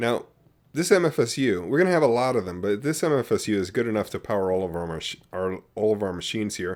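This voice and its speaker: On a very clean recording with a silent background, a man with a plain, everyday voice talks at a fairly quick pace with lively intonation. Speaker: gaming video creator. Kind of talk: gameplay tutorial commentary. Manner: casual with fillers and self-corrections.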